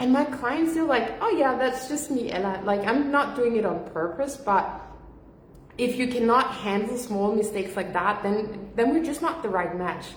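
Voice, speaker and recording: Through noticeable background noise and audible room echo, a loud woman speaks at a high pitch with lively intonation at a moderate pace. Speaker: business coach. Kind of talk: livestream talk. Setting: livestream from home.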